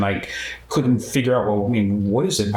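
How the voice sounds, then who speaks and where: Someone with a Philadelphia accent speaks with ordinary pitch variation, with audible room echo and noticeable background noise. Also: man. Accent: Philadelphia American English. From US Northeast, Philadelphia. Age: 70s. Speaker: human rights activist. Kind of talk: documentary interview. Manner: halting, many fillers.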